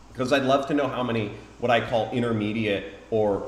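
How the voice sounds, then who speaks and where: Audible room echo surrounds the voice. A man talks with fairly even intonation. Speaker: affiliate marketing YouTuber. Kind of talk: live-streamed tutorial. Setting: home live stream.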